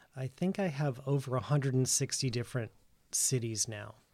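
A plain, everyday voice with an American accent, fairly slow pace and ordinary pitch variation, on a very clean recording with a silent background. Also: man. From Massachusetts (Worcester). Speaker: designer and shop owner. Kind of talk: casual interview. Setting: studio.

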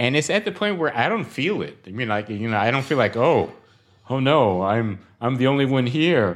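Over a quiet background, a man with an American accent talks at a moderate pace in a medium pitch, with lively intonation. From Brooklyn, New York. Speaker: financial professional. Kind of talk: casual interview conversation. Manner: halting, repeats words.

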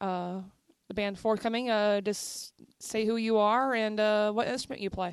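Against a quiet background, a woman with an ordinary speaking voice talks at a fairly slow pace in a fairly high pitch, with fairly even intonation. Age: 30s. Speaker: radio host. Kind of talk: casual chat.

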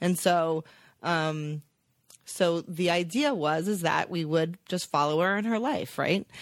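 A woman with a plain, everyday voice speaks at a fairly slow pace, her pitch fairly low with ordinary variation, on a very clean recording with a silent background. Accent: American. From New Jersey, Teaneck. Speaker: TV network executive. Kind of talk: casual chat. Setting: office.

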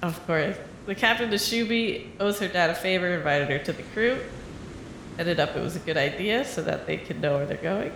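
The voice moves at a fairly quick pace while noticeable background noise plays underneath. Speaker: improv comedy podcast host. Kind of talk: casual improv comedy chat.

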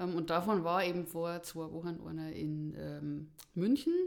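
This is an ordinary speaking voice at a fairly slow pace with ordinary pitch variation. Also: woman. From Bavaria, Erding district. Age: 40s. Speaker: podcast guest, hobby hiker. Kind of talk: casual interview, personal story.

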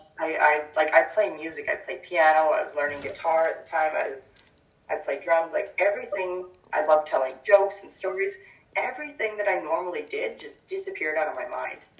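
With a Canadian accent, a woman talks at a fairly quick pace with big swings in loudness. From Victoria, British Columbia, Canada. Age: 30s. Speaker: holistic healer and mindset coach. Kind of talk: casual interview.

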